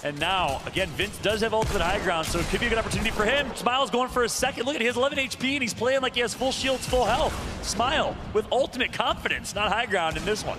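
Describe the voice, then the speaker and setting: This man talks at a very fast clip with lively intonation and hardly any pauses, his pitch extremely high and his loudness very even, over noticeable background noise. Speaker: esports caster. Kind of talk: live commentary.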